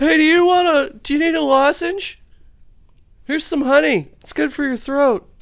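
A man uses a put-on character voice at an extremely high pitch. He talks at a moderate pace. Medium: actual play. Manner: chummy, casual.

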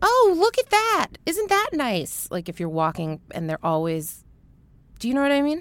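A woman talks at a moderate pace. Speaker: singer-songwriter. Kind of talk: casual chat.

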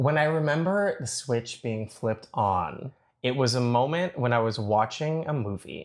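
A normal speaking voice from a man with a Canadian accent, medium-pitched, at a moderate pace, on a very clean recording with a silent background. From Toronto, Canada. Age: 30s. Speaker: baker and reality show contestant. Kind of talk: casual interview chat.

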